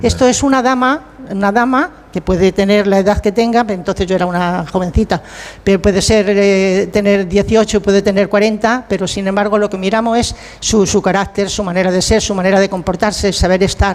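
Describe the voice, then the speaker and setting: Speech at a moderate pace runs over noticeable background noise. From Spain, Talavera de la Reina. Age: 80s+. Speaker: retired actress and writer. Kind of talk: casual interview chat.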